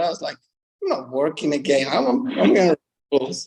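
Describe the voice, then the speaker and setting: A man talks with a Spanish accent. His intonation is lively. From Mexico, ranch in small town. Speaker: professional bull rider. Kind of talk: interview. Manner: hesitant, many fillers.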